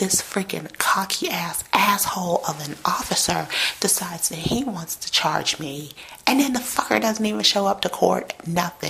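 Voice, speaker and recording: Over noticeable background noise, a soft-spoken woman is whispering. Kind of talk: casual talk to camera. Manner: between whisper talking and soft talking.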